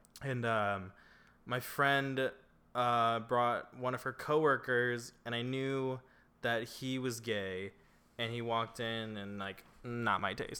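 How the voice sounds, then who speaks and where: Very slowly, a man talks. The rise and fall of his voice is fairly even. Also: medium pitch for a man. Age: 20s. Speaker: podcast co-host. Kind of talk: casual chat. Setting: apartment.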